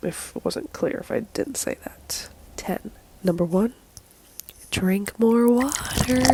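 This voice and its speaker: Noticeable background noise surrounds a soft-spoken woman who talks at a moderate pace with ordinary pitch variation. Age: 20s. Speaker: vlogger. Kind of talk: casual vlog monologue. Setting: at home, recording to camera.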